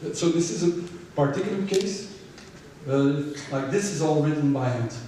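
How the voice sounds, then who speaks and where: A man speaks at a fairly high pitch. Noticeable background noise and audible room echo are present. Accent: Dutch. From Belgium (Flanders). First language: Dutch. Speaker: illustrator. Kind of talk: public lecture Q&A conversation. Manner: halting, repeats words.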